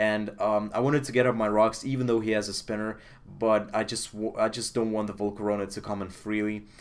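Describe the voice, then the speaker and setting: A man's fairly quick, monotone delivery with flat intonation, in a Russian accent. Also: fairly low pitch for a man. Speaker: video game commentator. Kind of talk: game commentary. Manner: hesitant, many fillers.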